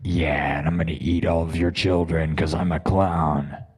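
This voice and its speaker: There is noticeable background noise as a man talks at a fairly slow pace. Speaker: live-streaming musician. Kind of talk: casual chat. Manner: animated.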